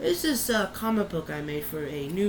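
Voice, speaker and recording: Room echo and noticeable background noise surround a woman's voice. Her pitch is very deep and low, with lively intonation. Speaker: youtuber. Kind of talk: casual vlog talk. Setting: bedroom. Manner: loud.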